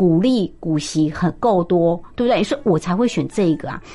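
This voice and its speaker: A woman is speaking. Her pitch swings very widely. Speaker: business professor and investment author. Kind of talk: interview. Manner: animated.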